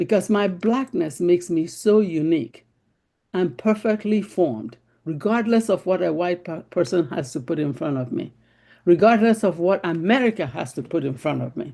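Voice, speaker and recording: Over a quiet background, the speaker talks at a moderate pace in a Nigerian accent. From Nigeria (Igbo, Biafra). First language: Igbo. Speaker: panel discussion participant. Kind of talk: group discussion.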